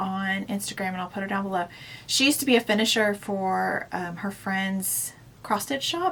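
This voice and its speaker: With an unremarkable speaking voice, a woman talks at a medium pitch that varies in an ordinary way. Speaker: cross-stitch video blogger. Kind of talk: casual chat.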